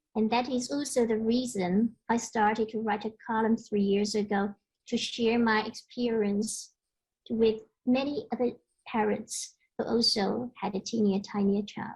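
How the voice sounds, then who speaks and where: A woman with a Chinese accent speaks at a fairly slow pace in a somewhat breathy voice, her intonation flat and monotone. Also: fairly high pitch for a woman. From China. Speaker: conference speaker, parent and columnist. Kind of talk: conference presentation.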